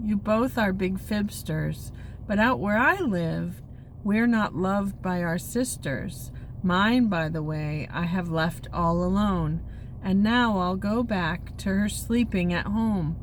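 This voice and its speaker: Using a put-on character voice, a woman speaks at a fairly slow pace and medium pitch over clear background noise. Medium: read story. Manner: roaring, blustery.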